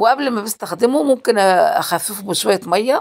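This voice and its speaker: A woman with an Egyptian accent, lively intonation and a fairly slow pace, on a very clean recording with a silent background. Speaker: DIY crafts youtuber. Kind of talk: tutorial. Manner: casual, hesitant with fillers.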